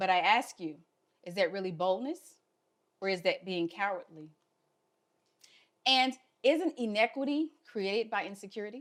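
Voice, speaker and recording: With a Southern US accent, a woman talks at a moderate pace and medium pitch, her intonation lively and broken by long, frequent pauses. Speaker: health equity fellow, speaker. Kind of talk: prepared talk.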